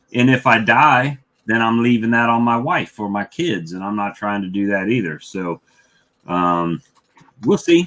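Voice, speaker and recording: Behind the voice, music is playing. Its intonation rises and falls in a lively way. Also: man. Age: 50s. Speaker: beekeeper and live stream host. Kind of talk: casual chat. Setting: live stream.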